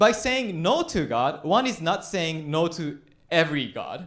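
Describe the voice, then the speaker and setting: A man speaks slowly at a fairly high pitch with very wide pitch swings and vocal fry. Audible room echo surrounds his voice. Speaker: pastor. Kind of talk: sermon.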